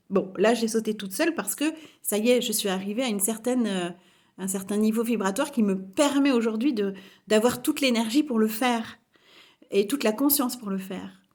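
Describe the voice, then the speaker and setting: This woman's voice sits fairly high in pitch. It sounds somewhat breathy. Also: ordinary pitch variation, fairly quick pace. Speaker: spiritual coach. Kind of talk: vlog testimony. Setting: home kitchen. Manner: assertive, forceful; hesitant, many fillers.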